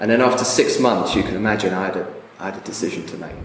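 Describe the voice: Very fast speech from a man with a low voice, heard with audible room echo. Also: ordinary pitch variation.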